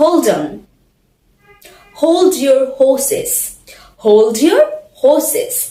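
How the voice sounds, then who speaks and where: A woman's high voice with very wide pitch swings at a very slow pace, music in the background. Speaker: English teacher. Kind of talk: English lesson to camera.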